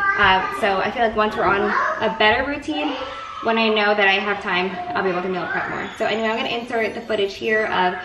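A woman talking at a very fast pace over crowd noise in the background. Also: ordinary pitch variation. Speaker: home cooking vlogger. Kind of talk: casual vlog chat. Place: kitchen.

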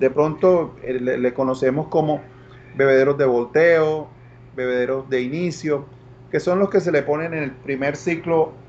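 Over light background noise, a man speaks in a normal speaking voice at a fairly high pitch. His pace is fairly slow and his intonation fairly even. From Colombia, Barranquilla (Caribbean coast); Colombia. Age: 50s. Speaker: agricultural products salesman. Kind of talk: online talk / product presentation. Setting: live stream. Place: office. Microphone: video call.

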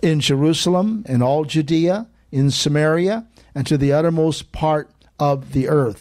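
A man's pitch varies in an ordinary way. Behind him, the background stays quiet. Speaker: church president preaching. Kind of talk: sermon. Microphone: handheld.

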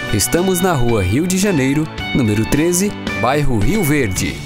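The speech comes at a fairly slow pace, with a dry sound lacking echo and clear music in the background. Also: man. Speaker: voice actor. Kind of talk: TV commercial read. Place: booth. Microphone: studio mic.

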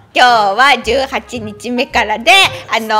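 Faint music plays behind a woman with a high pitch. She talks at a moderate pace. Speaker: voice actor. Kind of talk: casual game commentary. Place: studio.

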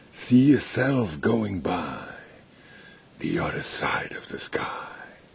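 Whispering comes at a very slow pace. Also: man. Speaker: amateur vlogger. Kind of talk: casual rambling vlog chat. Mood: irritated, joking.

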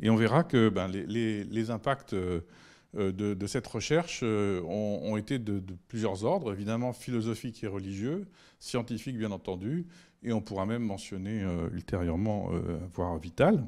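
Fairly low in pitch, a man speaks in a dark, mellow tone at a fairly slow pace. His pitch varies normally over a quiet background. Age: 60s. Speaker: physics professor. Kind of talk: public lecture. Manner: halting, many hesitations. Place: hall. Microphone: handheld.

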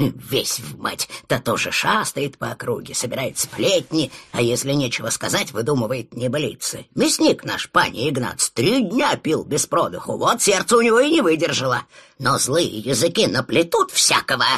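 This man's voice sits fairly high and swings very widely in pitch. He talks at a moderate pace. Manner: grumbling, scolding, weary.

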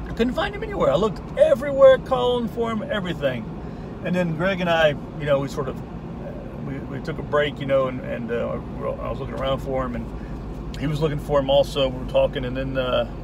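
Over noticeable background noise, a man speaks very fast in a dry recording with no echo. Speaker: vlogger. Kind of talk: casual vlog chat. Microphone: phone near.

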